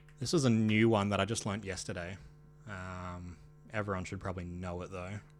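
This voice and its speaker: With music in the background and audible room echo, a man talks fairly quickly at a very deep, low pitch, his loudness swinging widely. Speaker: streamer. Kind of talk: casual live stream chat. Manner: halting, many fillers.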